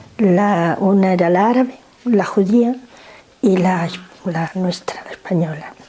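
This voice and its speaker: Against noticeable background noise, a woman speaks at a medium pitch and a fairly slow pace, with ordinary pitch variation and long, frequent pauses. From northern Morocco (Nador, Spanish protectorate). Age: 70s. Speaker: interviewee grandmother. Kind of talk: family interview. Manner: halting.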